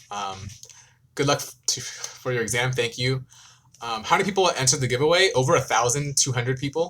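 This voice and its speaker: A man with an American accent at a very fast pace, medium pitch and ordinary pitch variation. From US, California Bay Area. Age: 20s. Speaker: K-pop YouTuber and law student. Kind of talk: live stream Q&A. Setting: live stream. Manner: hesitant, many ums.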